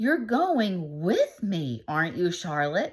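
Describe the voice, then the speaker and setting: A woman's put-on character voice at a medium pitch and a very slow pace. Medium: read story. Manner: eager, earnest.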